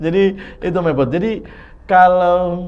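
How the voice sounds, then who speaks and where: At a moderate pace, a man talks over noticeable background noise with audible room echo. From Flores, eastern Indonesia (Ende). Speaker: podcast host. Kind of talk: casual interview chat. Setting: studio. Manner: halting, many fillers.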